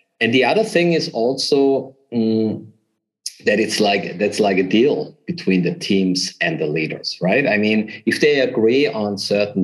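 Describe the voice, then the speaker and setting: Lively intonation at a fairly slow pace, in a German accent. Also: man. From southern Germany. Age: 40s. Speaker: business consultant. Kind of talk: interview.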